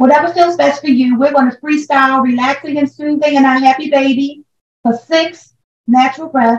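Speaking at a moderate pace, a woman with a high voice and calm tone keeps her intonation fairly even and her loudness very even. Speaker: yoga instructor. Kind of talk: guided yoga class instruction, counting down breaths. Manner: calm countdown of breaths mixed with pushing encouragement.

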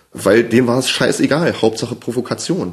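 Speaking at a moderate pace, a man uses a medium pitch and lively intonation.

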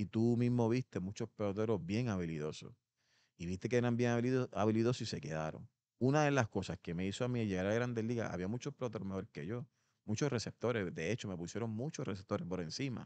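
Against a quiet background, a voice with a dark, mellow tone moves at a fairly quick pace. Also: man, dry sound with no echo. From Puerto Rico, Ponce; Puerto Rico. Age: 50s. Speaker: former pro baseball player; podcast guest. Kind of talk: interview. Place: gym. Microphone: studio mic.

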